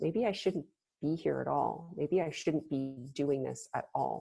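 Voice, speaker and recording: A woman speaks at a moderate pace with vocal fry. Her tone is dark and mellow. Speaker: mindfulness facilitator and yoga teacher. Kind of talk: online mindfulness workshop. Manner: hesitant, with fillers and restarts.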